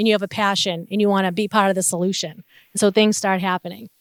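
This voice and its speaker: A woman talks with a Boston accent. The recording is very clean with a silent background and a dry, close sound with no echo. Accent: Boston North Shore. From Massachusetts North Shore (Revere, Saugus). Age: 40s. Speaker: trafficking survivor and advocate. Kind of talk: testimony.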